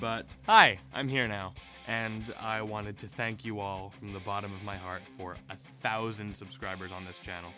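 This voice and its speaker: Over background music, a man speaks at a fairly low pitch in a flat monotone, his loudness swinging widely. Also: moderate pace. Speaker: voice actor. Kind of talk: casual talk to camera. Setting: home blanket booth. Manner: rambling, chatty.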